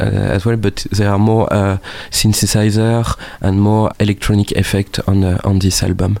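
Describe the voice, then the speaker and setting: A man with a fairly low voice speaks in a monotone, flat intonation at a moderate pace. His loudness is very even, and there is noticeable background noise. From northern France. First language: French. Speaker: musician. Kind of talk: interview. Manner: hesitant, many fillers.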